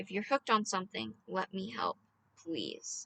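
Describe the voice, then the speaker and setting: A put-on character voice at a moderate pace, with very wide pitch swings and a dry, close sound with no echo. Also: woman, medium pitch for a woman. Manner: softer, gentle, concerned.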